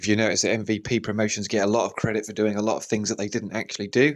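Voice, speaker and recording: Very fast and monotone, with flat intonation, a man speaks at a fairly low pitch. The recording is very clean, with a silent background. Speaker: boxing channel host. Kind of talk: solo commentary podcast. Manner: unscripted, off the cuff.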